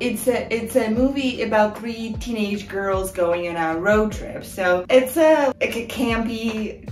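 Over faint background music, a woman speaks at a very slow pace in a room with audible echo. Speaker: video creator. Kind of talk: casual vlog chat. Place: home room. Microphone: camera far.

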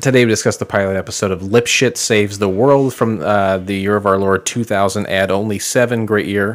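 A man with a normal speaking voice and an American accent, fairly low in pitch, at a fairly quick pace with hardly any pauses and fairly even intonation. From Illinois, Peoria area. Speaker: podcast host. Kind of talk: casual chat. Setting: studio.

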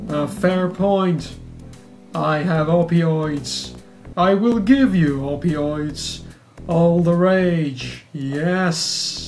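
Clear music plays behind a put-on character voice at a middle pitch. It moves at a very slow pace. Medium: game stream. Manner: formal, clipped, prim.

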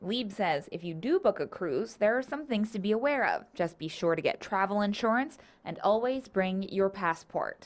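A normal speaking voice: a woman of medium pitch talks at a moderate pace with lively intonation and hardly any pauses. The recording is very clean, with a silent background. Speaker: TV news reporter. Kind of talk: scripted news report voiceover. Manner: even, measured, clear broadcast narration.

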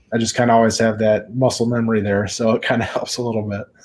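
A man talks at a fairly quick pace. His voice is fairly low in pitch with a slightly mellow tone.

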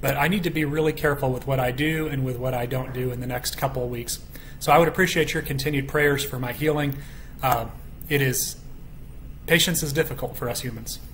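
With light background noise behind him, a man talks at a fairly quick pace with fairly even intonation. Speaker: bible study teacher. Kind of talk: bible study teaching. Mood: calm, earnest. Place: home room. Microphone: webcam.

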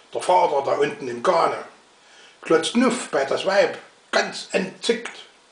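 A man speaks at a very slow pace. Audible room echo hangs around his voice. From Saxony. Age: old. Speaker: dialect reciter. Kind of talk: dialect poetry reading. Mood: humorous, calm. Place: home room. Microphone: webcam.

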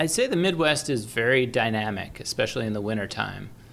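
The man's tone is bright and sharp as he talks with an American accent. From Long Island, New York. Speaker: government aviator, pilot. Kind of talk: interview. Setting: hangar. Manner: hesitant with fillers.

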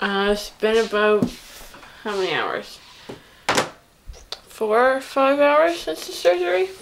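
Over light background noise, a woman speaks at a very slow pace. Her intonation is lively. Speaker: vlogger. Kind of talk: casual vlog chat. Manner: groggy, numb-mouthed post-surgery speech. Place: home room. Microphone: webcam.

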